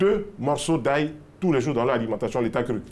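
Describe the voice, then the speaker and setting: A man is talking. His pace is fairly quick. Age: 60s. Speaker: health expert. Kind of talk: TV health interview.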